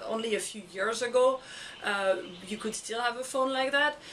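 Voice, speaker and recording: A woman with a French accent talks fast, at a fairly high pitch. Her pitch variation is ordinary, and noticeable background noise runs throughout. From France. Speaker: education blogger. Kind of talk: video blog monologue. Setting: recorded on camera. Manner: halting, many fillers.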